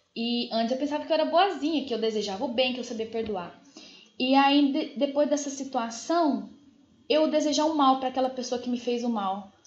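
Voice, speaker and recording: In a room with audible echo, a woman speaks at a high pitch with ordinary pitch variation. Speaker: spiritist study teacher. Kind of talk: lecture. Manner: fast.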